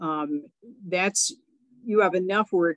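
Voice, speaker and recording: A woman speaks at a fairly slow pace with a medium pitch and ordinary pitch variation. The sound is dry and close, with no echo. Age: 60s. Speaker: reparations educator and presenter. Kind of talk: panel discussion Q&A. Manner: halting, many repeats and fillers.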